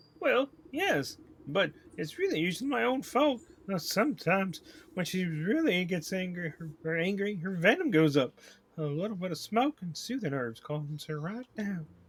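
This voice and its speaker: Putting on a character voice, a man speaks high and at a moderate pace. His pitch swings very widely. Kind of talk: game stream reading dialogue aloud. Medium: game voice-over.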